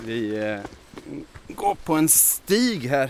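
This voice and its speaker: This man speaks at a medium pitch with lively intonation. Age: 40s. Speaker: nature podcast host. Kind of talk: casual chat. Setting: outdoors in forest.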